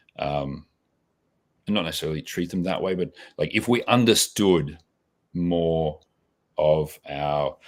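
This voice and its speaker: In a very clean recording with a silent background, a man with a very deep, low voice speaks at a fairly slow pace, with ordinary pitch variation and long, frequent pauses. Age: 40s. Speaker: bartender and beverage consultant. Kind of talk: podcast interview. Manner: casual, with many fillers and repeats.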